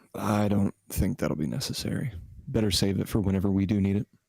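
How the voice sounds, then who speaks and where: Delivered at a very fast pace, this put-on character voice is raspy, with a dry, close sound and no echo. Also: man, fairly low pitch for a man. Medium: actual play.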